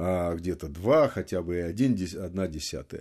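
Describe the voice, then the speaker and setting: A man speaks with a dark, mellow tone and lively intonation. The background is quiet. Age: 70s. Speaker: retired general and former intelligence analyst. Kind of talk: studio interview. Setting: studio.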